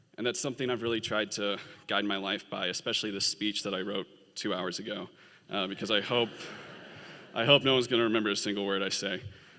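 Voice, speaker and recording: A man with an American accent, fairly low in pitch and bright and sharp in tone, at a very fast pace with fairly even intonation and long, frequent pauses, on a very clean recording with a silent background. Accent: Southern US accent, comes out when nervous. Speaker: graduating law student. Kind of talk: commencement speech. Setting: stage with audience.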